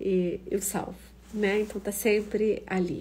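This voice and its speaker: A woman speaks at a medium pitch with vocal fry and a monotone, flat intonation. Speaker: professor hosting an online talk. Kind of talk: casual live-stream talk. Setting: Instagram live stream.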